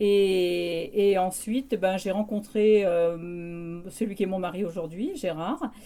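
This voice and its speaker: Her voice has a dark, mellow tone at medium pitch. The woman keeps her intonation fairly even. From France, Creuse. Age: 60s. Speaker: removal company owner. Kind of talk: interview.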